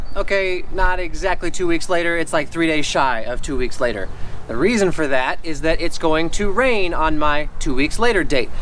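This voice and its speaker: A fairly quick-paced man amid noticeable background noise and audible room echo. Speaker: lawn care YouTuber. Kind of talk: casual tutorial vlog. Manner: fast.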